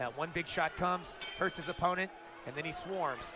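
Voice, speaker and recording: An animated, excited tone at a fairly quick pace, with noticeable background noise. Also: man. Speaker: boxing commentator. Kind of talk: live boxing commentary. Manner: animated, fast play-by-play patter with excited exclamations.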